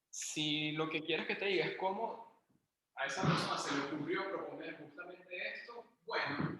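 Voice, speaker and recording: With audible room echo, a man talks at a moderate pace in a high pitch with ordinary pitch variation. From Venezuela, Caracas. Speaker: university math lecturer. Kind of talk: online lecture.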